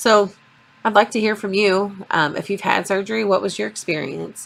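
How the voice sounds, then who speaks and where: At a moderate pace, this voice carries lively intonation and vocal fry. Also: woman. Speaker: vlogger. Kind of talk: vlog. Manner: hesitant.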